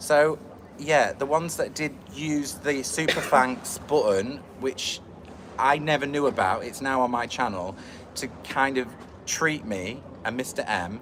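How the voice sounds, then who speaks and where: A man's fairly high voice at a fairly slow pace, with ordinary pitch variation, against noticeable background noise. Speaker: YouTuber. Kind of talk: casual chat. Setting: livestream at an airport. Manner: chatty.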